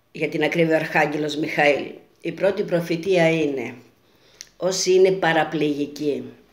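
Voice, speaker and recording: Audible room echo fills the space around a woman. Her pace is fairly slow. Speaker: self-styled futurologist and prophet. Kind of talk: monologue video message with prophecies. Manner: earnest, repetitive.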